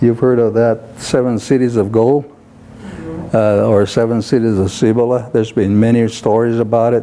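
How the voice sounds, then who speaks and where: This man has a medium pitch, very even loudness and flat, monotone delivery, speaking at a moderate pace against noticeable background noise. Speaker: Zuni elder, civil engineer, veteran. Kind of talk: interview answer. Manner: conversational, hesitant with fillers.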